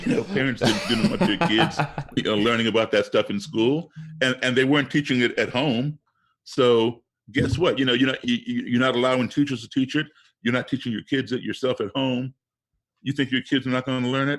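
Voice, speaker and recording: This man has a normal speaking voice and an American accent. His medium pitch shows ordinary variation at a fairly quick pace. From US, Chicago-born. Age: 60s. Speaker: race relations activist and blues musician. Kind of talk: podcast interview.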